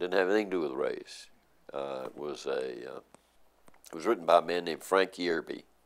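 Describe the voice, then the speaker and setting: Speaking very fast with an American accent, a man shows big swings in loudness. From Nashville, Tennessee. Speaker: journalist. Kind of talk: oral history interview answer. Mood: reflective, warm storytelling. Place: office.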